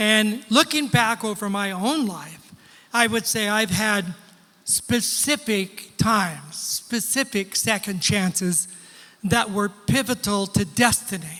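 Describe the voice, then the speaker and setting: Raising and projecting his high-pitched voice, a man speaks very slowly in a bright, sharp tone with ordinary pitch variation. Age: 70s. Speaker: pastor. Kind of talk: sermon. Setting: church with congregation.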